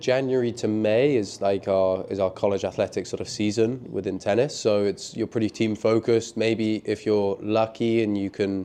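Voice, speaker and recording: Here a man with a London accent speaks at medium pitch and a moderate pace in a dark, mellow tone. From London, England. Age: 20s. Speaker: professional tennis player. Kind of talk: interview.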